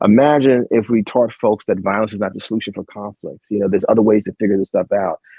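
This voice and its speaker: Here a man talks with an American accent. His pitch varies in an ordinary way. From New Jersey (Jersey City). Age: 40s. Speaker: author and poet. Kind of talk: interview conversation. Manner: fast at times; animated.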